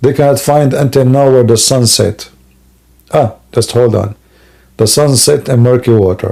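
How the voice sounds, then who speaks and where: The speaker has an Arabic accent and a dark, mellow tone. Loudness stays very even, broken by long, frequent pauses. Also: man, medium pitch for a man, moderate pace. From Middle East. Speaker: live stream host debating religion. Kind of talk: live stream chat with callers. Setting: live online broadcast. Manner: animated, joking.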